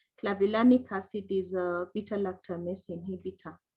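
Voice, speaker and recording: A woman talks at a medium pitch and a moderate pace, her voice somewhat breathy. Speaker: microbiology lecturer. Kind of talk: online lecture.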